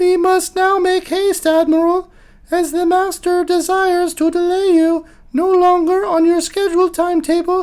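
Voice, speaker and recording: This squeaky put-on character voice sits at an extremely high pitch, moving at a moderate pace with monotone, flat intonation. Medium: read story. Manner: polite, formal.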